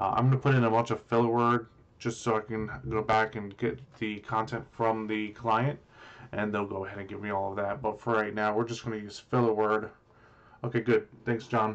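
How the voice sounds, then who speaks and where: A man with a plain, everyday voice speaks at a moderate pace in a fairly low pitch. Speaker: web developer. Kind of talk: live tutorial. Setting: livestream.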